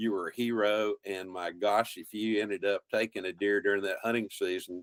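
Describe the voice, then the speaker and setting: A man with a Texan accent talks at a moderate pace in a fairly low pitch. His intonation is monotone and flat, and the sound is dry and close with no echo. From central Texas, German-speaking rural community. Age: 70s. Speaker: wildlife biologist and outdoor TV host. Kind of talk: casual interview.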